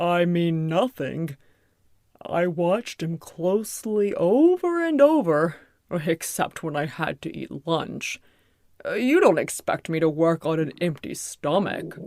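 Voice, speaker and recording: A woman puts on a character voice, pitched fairly low and delivered at a fairly slow pace. The recording is very clean, with a silent background. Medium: audio drama. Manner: dim, bumbling.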